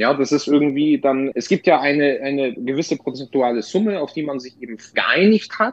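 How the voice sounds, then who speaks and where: A man speaks at a moderate pace with hardly any pauses, his fairly high voice showing ordinary pitch variation and big swings in loudness. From Bavaria, Lower Franconia (Bad Kissingen). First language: Polish (speaking German). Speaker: booking agent and DJ. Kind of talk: casual interview. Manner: halting, many repeated words.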